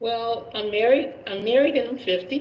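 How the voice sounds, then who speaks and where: Audible room echo surrounds this recording. The woman's voice sits at a fairly high pitch. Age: 50s. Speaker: caller, married mother. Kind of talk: live stream call-in conversation.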